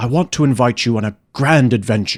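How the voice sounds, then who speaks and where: A man speaks in a put-on character voice, raspy and medium in pitch, at a fairly quick pace. The recording is very clean, with a silent background. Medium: read story. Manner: warm, expansive, persuasive.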